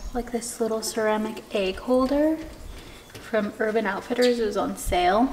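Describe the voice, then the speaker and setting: Light background noise runs under the clip. A woman speaks at a fairly slow pace with ordinary pitch variation. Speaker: lifestyle vlogger. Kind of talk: casual vlog chat. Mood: cheerful, relaxed. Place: kitchen. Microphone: camera far.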